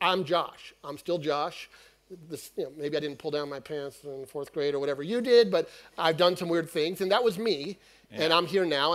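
A man's pitch varies in an ordinary way as he speaks at a moderate pace. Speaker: panelist. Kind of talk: panel discussion explanation. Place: stage. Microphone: headset.

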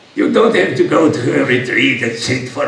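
There is audible room echo and light background noise. A man talks at a moderate pace. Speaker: yoga teacher. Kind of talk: speech to an audience with Q&A. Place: stage.

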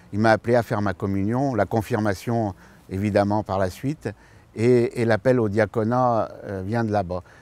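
At a moderate pace, a man talks in a fairly low pitch with fairly even intonation, the sound dry with no echo. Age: 60s. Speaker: future permanent deacon, retired civil servant. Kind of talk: personal testimony interview. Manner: hesitant, many fillers. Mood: warm, smiling, calm. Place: garden. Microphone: lapel.

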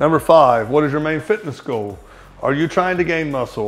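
Words pour out of a man at a very fast pace. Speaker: fitness coach. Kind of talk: explanatory tutorial to camera. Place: shop. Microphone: lapel.

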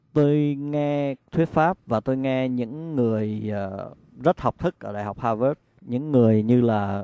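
A man's dark, mellow voice at a medium pitch, very slow in pace with ordinary pitch variation, in a dry, close sound with no echo over a quiet background. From Vietnam. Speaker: meditation practitioner, interviewee. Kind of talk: interview testimony. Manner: halting, with fillers.

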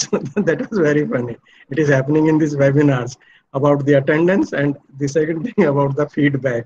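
A man talks at a fairly quick pace, fairly high in pitch and somewhat breathy, with ordinary pitch variation. His loudness stays very even over light background noise. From India. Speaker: professor. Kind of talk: lecture. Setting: video call. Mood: warm, friendly. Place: home room. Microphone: audio dropped out, bad network; webcam.

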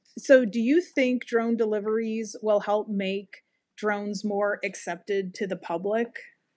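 A woman's fairly high-pitched, a normal speaking voice, at a fairly slow pace over a quiet background. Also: fairly even intonation. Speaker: podcast co-host. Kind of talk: casual interview. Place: home room. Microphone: video call.

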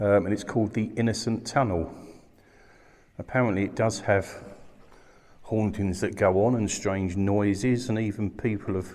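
A man with a fairly low pitch talks at a moderate pace. His intonation is fairly even, with long, frequent pauses. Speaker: paranormal investigator vlogger. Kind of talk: casual vlog chat. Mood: quiet, slightly tense. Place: tunnel cave. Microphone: phone near.

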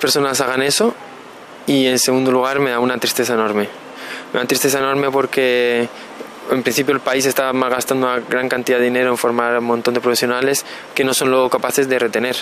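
A man at a fairly quick pace, monotone and flat in intonation, very even in loudness, over light background noise. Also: dry sound with no echo. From Canary Islands (Las Palmas), born in Burgos; Canary Islands. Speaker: particle physicist; interviewee. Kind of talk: interview. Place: waterside. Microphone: handheld.

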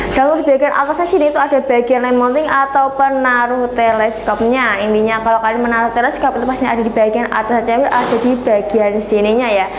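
The speech runs at a fairly quick pace with fairly even intonation over noticeable background noise. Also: woman. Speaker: online airgun shop seller. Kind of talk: sales pitch. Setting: video review in front of airguns. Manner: pushy, repeatedly urging viewers to watch to the end; fast, rambling, repetitive product-spec patter. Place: shop.

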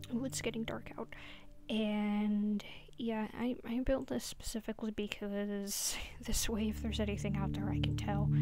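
Soft-spoken at a moderate pace, the voice comes with noticeable background noise. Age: 20s. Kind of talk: casual gameplay commentary.

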